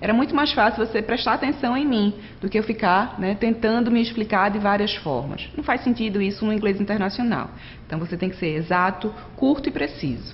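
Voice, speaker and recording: Her intonation lively, a woman talks in a fairly high pitch. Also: fairly quick pace. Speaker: online course instructor. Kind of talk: lecture. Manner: fast.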